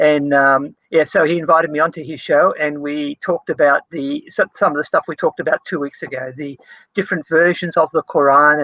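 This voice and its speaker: A man in a plain, everyday voice speaks fairly quickly, his pitch fairly high. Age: 60s. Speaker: theology lecturer. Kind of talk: casual interview.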